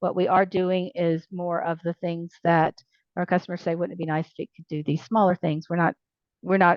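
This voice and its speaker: A woman with a Southern US accent talks at a very fast pace in a fairly low pitch. Her intonation stays fairly even. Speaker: library software company representative. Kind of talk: online meeting presentation Q&A.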